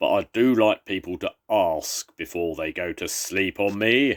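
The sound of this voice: On a very clean recording with a silent background, a man uses a growling put-on character voice at a fairly low pitch and a moderate pace.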